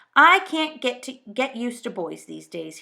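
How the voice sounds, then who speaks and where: A woman puts on a gruff character voice pitched high, swinging very widely in pitch at a moderate pace. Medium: read story. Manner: muttering, gruff.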